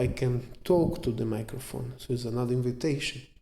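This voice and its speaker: Noticeable background noise and audible room echo surround a man's voice. He speaks at a moderate pace with fairly even intonation. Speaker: jiu-jitsu instructor. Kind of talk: lecture. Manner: halting.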